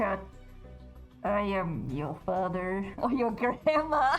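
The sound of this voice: Doing a put-on character voice, a woman sounds wheezy at a medium pitch, speaking very slowly with very wide pitch swings while music plays in the background.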